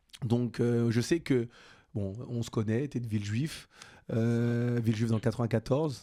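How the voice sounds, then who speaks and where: A man at a fairly slow pace with a dark, mellow tone and fairly even intonation. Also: medium pitch for a man, very clean recording, silent background. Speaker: podcast host. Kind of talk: casual chat.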